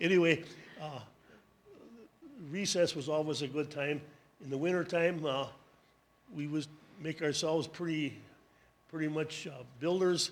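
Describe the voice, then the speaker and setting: There is audible room echo as a man with an American accent speaks at a moderate pace, with long, frequent pauses. His voice is fairly high, and his intonation stays fairly even. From US Midwest, Door County, Wisconsin. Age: 80s+. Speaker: panelist sharing school memories. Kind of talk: public talk, memoir. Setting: town hall with audience.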